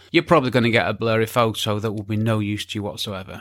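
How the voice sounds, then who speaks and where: A man with a medium pitch speaks at a very fast pace in a very clean recording with a silent background. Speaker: podcast host and photography teacher. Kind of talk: scripted-style educational podcast monologue. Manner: informal, conversational, explanatory.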